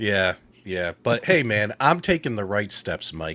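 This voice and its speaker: At a fairly slow pace, a man speaks in a bright, sharp tone with lively intonation. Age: 40s. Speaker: gaming YouTube co-host. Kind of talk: casual chat. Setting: live stream. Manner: animated.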